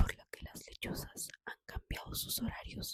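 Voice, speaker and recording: This woman speaks in a whisper. Her pace is fairly slow. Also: dry, close sound with no echo. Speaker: ASMR channel host reading a book aloud. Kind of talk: whispered audiobook reading, ASMR. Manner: whispered, soft.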